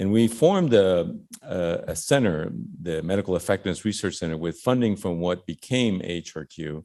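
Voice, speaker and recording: A man with a Spanish accent speaks at a very deep, low pitch in a dark, mellow tone. His pitch variation is ordinary, and the recording is very clean with a silent background. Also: moderate pace. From Cuba, raised in Miami. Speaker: physician and health research director. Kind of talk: keynote speech. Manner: hesitant, many fillers.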